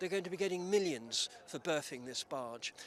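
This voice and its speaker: With a southern English accent, a man talks at a moderate pace in a high pitch. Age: 70s. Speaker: retired head teacher and activist. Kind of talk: news interview.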